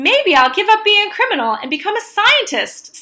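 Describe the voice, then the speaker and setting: A woman's put-on character voice at an extremely high pitch, very wide pitch swings, and a moderate pace. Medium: read story.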